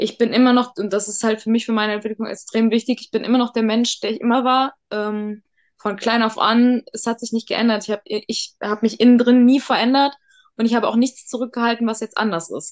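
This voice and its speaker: Fairly quick in pace, a woman with a fairly high pitch and fairly even intonation has a plain, everyday voice. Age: 30s. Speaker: interview guest sharing her coming-out story. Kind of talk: casual interview.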